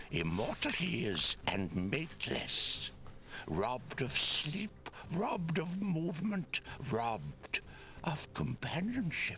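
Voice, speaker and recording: Over clear background noise, a man uses a put-on character voice at a fairly high pitch and a fairly slow pace. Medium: video game. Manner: solemn, formal.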